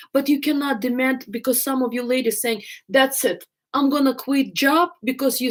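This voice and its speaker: With an Eastern European accent, a woman speaks at a moderate pace. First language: not English. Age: 50s. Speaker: love coach. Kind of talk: live stream Q&A. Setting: live stream.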